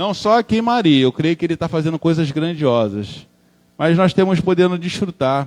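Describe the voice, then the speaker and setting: In a Rio de Janeiro accent, a man with a high pitch talks with lively intonation. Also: moderate pace, dry, close sound with no echo. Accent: Rio de Janeiro (carioca). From Brazil, Rio de Janeiro. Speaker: preacher. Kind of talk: sermon. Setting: church.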